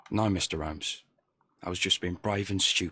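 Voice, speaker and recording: A man puts on a raspy character voice with a very deep, low pitch, speaking at a moderate pace. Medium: video game. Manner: nervous, stammering.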